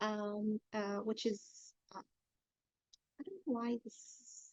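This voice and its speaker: Very slow, somewhat breathy female speech at a fairly high pitch. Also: fairly even intonation. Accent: Arabic. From Egypt. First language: Arabic. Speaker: blockchain developer and workshop instructor. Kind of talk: technical tutorial. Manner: halting with many fillers.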